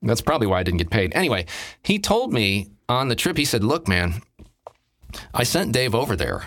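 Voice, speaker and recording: A plain, everyday voice, a man at medium pitch and moderate pace, on a very clean recording with a silent background. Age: 50s. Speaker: drummer and voice actor. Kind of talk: casual chat.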